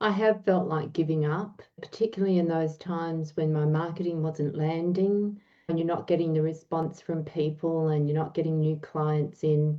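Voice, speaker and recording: A normal speaking voice from a woman, fairly low in pitch, with fairly even intonation at a moderate pace. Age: 60s. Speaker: life coach. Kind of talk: interview.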